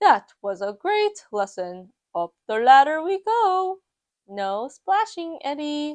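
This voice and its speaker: A put-on character voice from a woman, high-pitched with very wide pitch swings, delivered at a fairly slow pace. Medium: read story. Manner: warm, encouraging.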